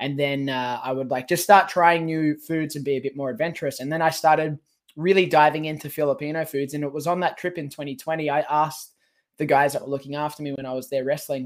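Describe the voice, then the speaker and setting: On a very clean recording with a silent background, a man with an Australian accent talks at a very fast pace with fairly even intonation. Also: fairly high pitch for a man. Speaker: professional wrestler. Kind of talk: casual interview.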